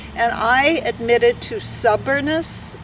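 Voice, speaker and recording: Background noise can be clearly heard. Through it comes a woman's voice. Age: 60s. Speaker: long-distance hiker. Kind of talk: interview.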